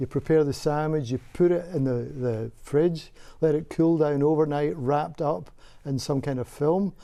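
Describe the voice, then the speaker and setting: A Scottish accent marks this man's dark, mellow voice, fairly high in pitch and at a moderate pace over a quiet background. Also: ordinary pitch variation. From Scotland. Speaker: microbiology professor. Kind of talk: TV interview.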